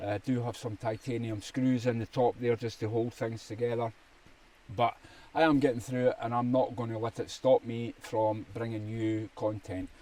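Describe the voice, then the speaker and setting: A man's dark, mellow voice moves at a moderate pace in a flat, monotone intonation. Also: medium pitch for a man. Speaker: survival channel host, army veteran. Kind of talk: casual gear talk to camera. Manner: hesitant, many fillers.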